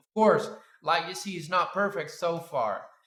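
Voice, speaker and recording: A man talks in a bright, sharp tone. Audible echo from the room surrounds his voice. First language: Spanish. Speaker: 3D sculpting artist and YouTuber. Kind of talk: casual reflective commentary over screen demo. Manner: halting, many fillers.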